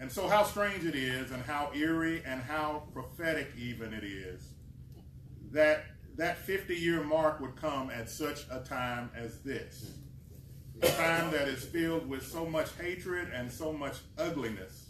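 Amid light background noise and audible room echo, a man talks fairly slowly at a fairly high pitch with ordinary pitch variation. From Kentucky. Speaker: community organization president. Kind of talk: speech at press event. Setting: press conference at state Capitol. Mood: earnest, impassioned advocacy. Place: hall. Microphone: camera far.

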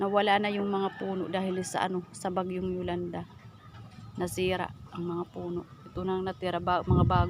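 A woman at a fairly quick pace, with long, frequent pauses and noticeable background noise. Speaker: vlogger. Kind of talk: casual vlog narration. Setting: outdoors. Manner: halting.

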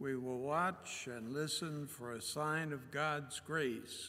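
This man talks at a very slow pace in a bright, sharp tone. His pitch varies in an ordinary way. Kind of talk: liturgical welcome and call to worship. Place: church. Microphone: podium.

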